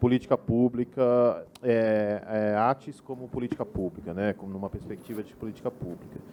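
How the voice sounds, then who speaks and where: A man is talking. He keeps a moderate pace. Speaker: group rapporteur at architecture debate. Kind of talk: meeting report. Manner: soft-spoken; halting, many repetitions. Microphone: too quiet at first.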